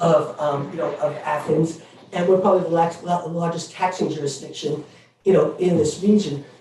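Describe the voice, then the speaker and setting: A man with a New York accent talks at a moderate pace in a high voice, with noticeable background noise and audible room echo. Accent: New York City. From New York City. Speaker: member of the public speaking at a board meeting. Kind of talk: public comment at a meeting. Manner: halting, many fillers.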